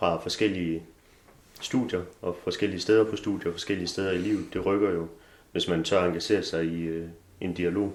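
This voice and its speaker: At a moderate pace, a man with a very deep, low pitch speaks in a monotone, flat intonation, leaving long, frequent pauses. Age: 20s. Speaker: theology student. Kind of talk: casual interview. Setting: student house.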